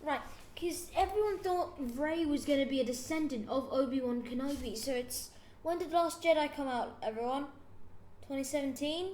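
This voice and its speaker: A woman's high voice at moderate pace with ordinary pitch variation, audible room echo. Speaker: podcast host. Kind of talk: casual chat. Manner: halting; animated.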